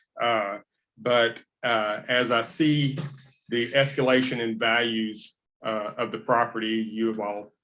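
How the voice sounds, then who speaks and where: A man talks at a fairly slow pace. His intonation is flat and monotone. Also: medium pitch for a man. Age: 60s. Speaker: resident making public comment. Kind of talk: public comment at county meeting. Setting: county courtroom meeting. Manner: halting, many fillers.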